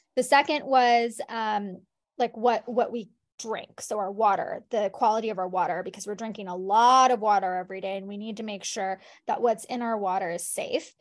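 In a plain, everyday voice, a woman speaks at a moderate pace and a fairly high pitch, with ordinary pitch variation, big swings in loudness and a quiet background. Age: 30s. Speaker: public health expert and author. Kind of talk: interview.

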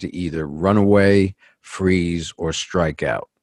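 A man with a very deep, low pitch and a New York accent, heard dry and close with no echo. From New York City. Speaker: executive coach. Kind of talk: interview.

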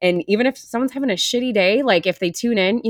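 With an American accent and a normal speaking voice, this speaker talks at a fairly quick pace with lively intonation in a dry, close sound with no echo. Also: woman. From Wisconsin, US Midwest. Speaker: podcast host. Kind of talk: casual interview chat.

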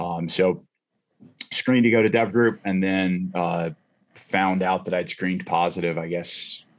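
Speaking at a fairly slow pace with long, frequent pauses, a man with a very deep, low pitch keeps a fairly even intonation in a very clean recording with a silent background. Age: 40s. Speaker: retired navy special operations veteran and firearms instructor. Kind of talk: casual interview.

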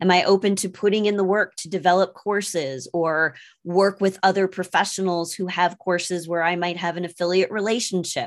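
Here is an ordinary speaking voice, a woman at medium pitch. She talks at a fairly quick pace against a quiet background. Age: 50s. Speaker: sales coach and stand-up comedian. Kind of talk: interview.

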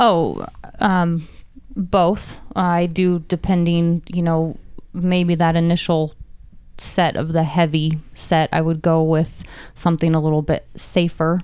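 At a very slow pace, a woman with an American accent speaks in a fairly low pitch, her dark, mellow voice monotone and flat, with very even loudness. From Nevada, US. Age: 30s. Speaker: martial artist and ex-professional dancer. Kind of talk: casual chat.

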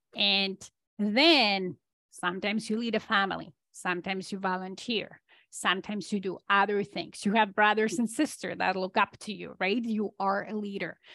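With a bright, sharp tone, a woman speaks at a medium pitch and moderate pace with fairly even intonation. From Poland. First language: Polish. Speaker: business and leadership coach. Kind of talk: interview.

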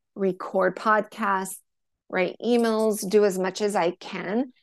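Against a quiet background, a woman speaks at a medium pitch with fairly even intonation, the sound dry and close with no echo. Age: 40s. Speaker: menstrual and hormone health coach. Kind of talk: casual interview chat.

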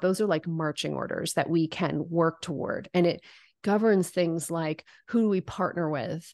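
A woman with a fairly low pitch speaks at a moderate pace in a normal speaking voice. The background is quiet, and the sound is dry and close with no echo. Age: 40s. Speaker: business coach and founder. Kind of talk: interview.

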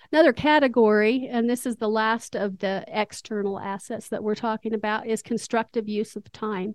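A woman with a plain, everyday voice and a fairly high pitch speaks at a moderate pace with fairly even intonation, in a dry, close sound with no echo and a quiet background. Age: 60s. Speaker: retired school counselor. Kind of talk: casual interview conversation.

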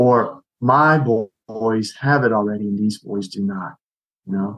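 Ordinary pitch variation from a man at a medium pitch. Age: 60s. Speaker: ministry leader, retired soldier. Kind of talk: casual chat.

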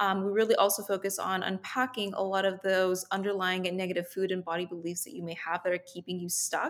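Over noticeable background noise, a woman talks at a fairly quick pace with hardly any pauses, using a medium pitch and fairly even intonation. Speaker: dietitian and food relationship coach. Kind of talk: casual interview chat.

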